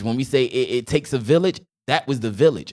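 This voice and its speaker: A man with an American accent, lively intonation and a fairly quick pace. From Newark, New Jersey. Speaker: educator and singer. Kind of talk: casual chat.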